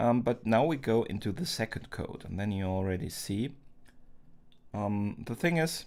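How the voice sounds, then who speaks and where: Lively intonation from a man with a non-native accent, medium pitch and moderate pace, on a very clean recording with a silent background. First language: not English. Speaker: art streamer. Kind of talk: live stream drawing tutorial. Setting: live stream, door closed. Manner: halting, many fillers.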